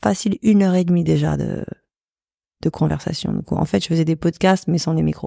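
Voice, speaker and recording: Female speech, dry and close without echo, captured on a very clean recording against a silent background. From Paris, France. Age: 40s. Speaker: photographer and artist. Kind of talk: interview. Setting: studio.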